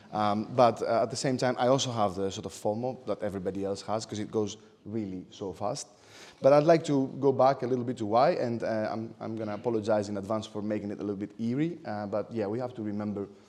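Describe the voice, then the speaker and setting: A man with a Greek accent talks very fast at a fairly low pitch. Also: ordinary pitch variation. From Greece. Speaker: architect and lecturer. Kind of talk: lecture. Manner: hesitant, many fillers.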